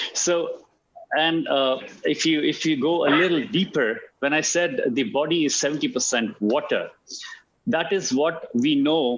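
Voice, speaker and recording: A man with a fairly high pitch, a fairly slow pace and lively intonation. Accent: Indian. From India. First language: Hindi. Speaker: alternative medicine practitioner. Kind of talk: talk on health. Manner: hesitant, many fillers and repetitions.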